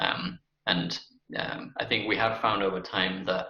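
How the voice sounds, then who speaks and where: A man with a British accent talks at a moderate pace. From UK. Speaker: company CEO. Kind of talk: interview. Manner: halting, many fillers.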